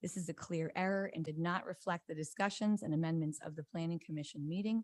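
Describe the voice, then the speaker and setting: A woman with a fairly low pitch and ordinary pitch variation is heard on a very clean recording with a silent background, the sound dry and close with no echo. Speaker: appellant resident at public hearing. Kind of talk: public testimony. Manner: fast; formal.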